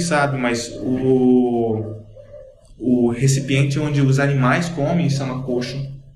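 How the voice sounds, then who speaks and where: Noticeable background noise and audible room echo surround the speech. A man talks with ordinary pitch variation. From Cuiabá, Mato Grosso, Brazil. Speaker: blogger, writer and musician. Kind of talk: podcast interview, casual chat. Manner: casual, explanatory.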